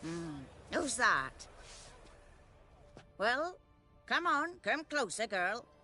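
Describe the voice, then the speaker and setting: In a put-on character voice, a female-sounding speaker talks very slowly at a high pitch for a woman, with very wide pitch swings and long, frequent pauses over music in the background. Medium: video game. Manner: blunt, scornful.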